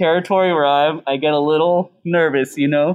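A man with an American accent and a plain, everyday voice, fairly high in pitch, at a moderate pace with fairly even intonation. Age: 40s. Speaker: chef and restaurant owner. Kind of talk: casual chat.

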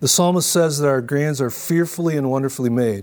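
A man with an American accent speaks at a medium pitch and a fairly quick pace, with ordinary pitch variation. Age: 60s. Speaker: pastor. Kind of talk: conference talk. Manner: hesitant, with fillers and repeats.

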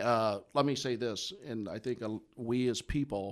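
Here a man with an American accent speaks at a fairly slow pace. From US Midwest. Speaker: CPA and coach. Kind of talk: casual interview conversation. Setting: radio studio.

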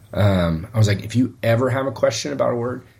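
A man speaks at a medium pitch and a moderate pace. His voice sounds somewhat breathy. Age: 40s. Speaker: pastor. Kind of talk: casual chat.

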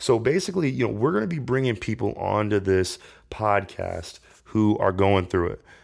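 In a very clean recording with a silent background, a man speaks at a fairly low pitch with an American accent. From Indiana, US. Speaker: podcast host. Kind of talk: solo podcast monologue. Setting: home, kitchen table. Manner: casual, filler-heavy.

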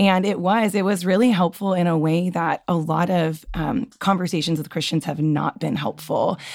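A woman speaks with ordinary pitch variation. She hardly pauses at all. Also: fairly low pitch for a woman, moderate pace. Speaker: podcast guest. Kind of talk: casual chat.

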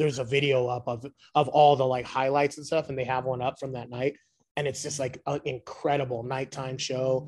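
At a medium pitch, a man with an American accent speaks fairly quickly in a flat monotone, somewhat breathy and with big swings in loudness. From Los Angeles, US (South Whittier). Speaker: hardcore punk band musician. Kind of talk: casual interview. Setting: video call.

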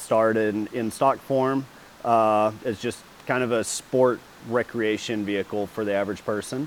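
A man with a Texan accent, medium pitch, fairly even intonation and a fairly slow pace. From Texas. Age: 30s. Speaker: professional off-road racer. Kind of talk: casual interview. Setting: race shop.

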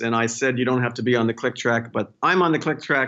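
A normal speaking voice with an American accent and ordinary pitch variation. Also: man. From Indiana, US. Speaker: orchestra conductor. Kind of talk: casual interview.

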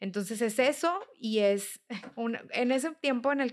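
On a very clean recording with a silent background, a woman speaks with a Mexican accent. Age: 30s. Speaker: nutritionist. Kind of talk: interview.

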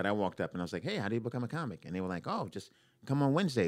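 Very fast and with very wide pitch swings, a man with an American accent speaks at a fairly low pitch on a very clean recording with a silent background. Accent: New York accent, disputed by listener. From New York, Brooklyn. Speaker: stand-up comedian. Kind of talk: casual chat.

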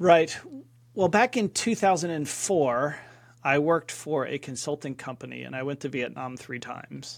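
A man's plain, everyday voice, fairly high in pitch with an American accent, at a moderate pace with ordinary pitch variation and big swings in loudness, in a very clean recording with a silent background. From US Northeast, Philadelphia suburbs. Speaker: business coach. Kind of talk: casual interview chat.

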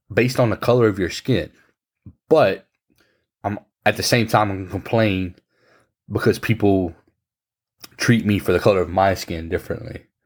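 In a Louisiana accent, a man speaks at a fairly low pitch with ordinary pitch variation. His pace is moderate, broken by long, frequent pauses. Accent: Louisiana Southern US. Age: 30s. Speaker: podcast host. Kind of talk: casual chat. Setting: video call.

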